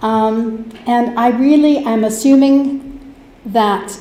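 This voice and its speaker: Against noticeable background noise and audible room echo, a woman with a Canadian accent speaks at a fairly high pitch. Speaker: hospice society volunteer. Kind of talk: presentation to council. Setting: council chamber. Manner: loud.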